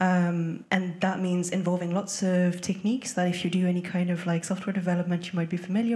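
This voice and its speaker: A somewhat breathy voice with audible room echo. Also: woman. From France. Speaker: music professor and researcher. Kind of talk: conference panel talk.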